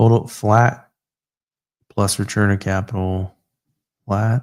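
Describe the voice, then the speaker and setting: A man's fairly low voice, monotone and flat, at a very slow pace. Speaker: livestreamer working on real estate finance models. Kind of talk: thinking aloud while working on a spreadsheet. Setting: livestream. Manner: halting.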